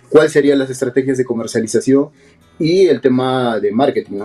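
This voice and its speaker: A man talks at a very fast pace with a medium pitch. His tone is dark and mellow. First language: Quechua (speaking Spanish). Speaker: filmmaker. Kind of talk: radio interview. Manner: halting, many repetitions.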